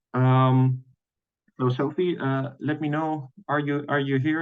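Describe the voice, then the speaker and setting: This man talks fairly slowly. His voice is medium in pitch. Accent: Dutch. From Netherlands. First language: Dutch. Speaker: webinar host. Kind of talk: webinar presentation. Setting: online webinar. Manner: halting, many fillers and repetitions.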